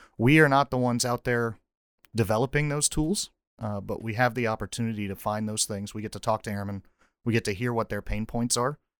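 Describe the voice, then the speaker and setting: Using a normal speaking voice, a man with an American accent talks at a fairly quick pace and medium pitch with fairly even intonation, the sound dry and close with no echo. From North Carolina. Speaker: air force officer. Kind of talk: casual interview. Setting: studio.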